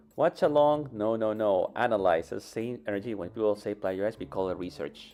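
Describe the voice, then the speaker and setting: With music in the background, the speaker goes at a fairly quick pace using lively intonation. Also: man, fairly low pitch for a man. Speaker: vtuber streamer. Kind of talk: casual livestream chat. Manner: fast.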